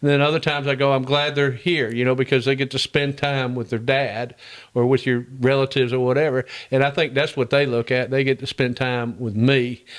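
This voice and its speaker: A man with a Southern US accent talks fairly quickly at a medium pitch with monotone, flat intonation. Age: 70s. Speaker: heating and air business owner. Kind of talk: podcast interview. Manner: halting.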